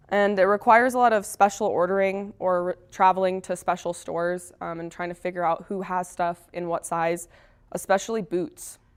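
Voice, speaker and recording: A woman's ordinary speaking voice at medium pitch, with an American accent, fairly even intonation, and a very clean recording with a silent background. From Texas, Dallas suburbs. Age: 20s. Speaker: mountaineer. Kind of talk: presentation. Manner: casual, conversational.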